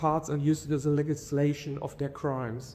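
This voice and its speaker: A man's fairly high voice with a German accent, dark and mellow in tone, flat and monotone, at a moderate pace. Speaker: conference speaker. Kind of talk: academic conference talk. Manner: halting, many fillers.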